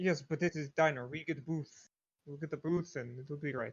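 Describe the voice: Pitch moves with ordinary variation. A slightly husky edge runs through the voice. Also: man, fairly high pitch for a man, moderate pace.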